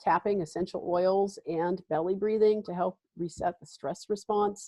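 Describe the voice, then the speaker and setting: This woman has a normal speaking voice, medium in pitch, with fairly even intonation at a moderate pace. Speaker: wellness practitioner, essential oils and tapping. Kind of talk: webinar presentation. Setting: live webinar, video call.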